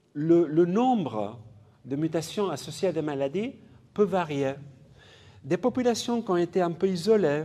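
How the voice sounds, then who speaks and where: A man with a non-native accent and a high pitch speaks in a dark, mellow tone, leaving long, frequent pauses. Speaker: geneticist, professor. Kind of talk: public lecture. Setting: conference hall with audience. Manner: halting, with fillers and repetitions.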